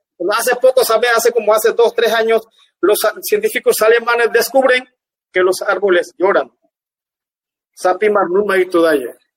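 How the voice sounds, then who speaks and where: With a Panamanian accent, a man with a high voice speaks at a moderate pace, his loudness very even and his pitch variation ordinary, leaving long, frequent pauses. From Panama, Guna Yala (Ustupu). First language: Guna (speaking Spanish). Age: 50s. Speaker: dance artist. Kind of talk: interview. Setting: livestream.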